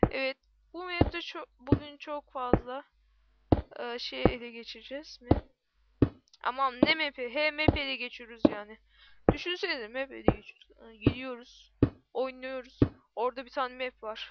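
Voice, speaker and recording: Her high voice, with ordinary pitch variation, comes from a woman whose loudness swings widely. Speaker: gaming YouTuber. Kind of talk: gameplay commentary. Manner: animated.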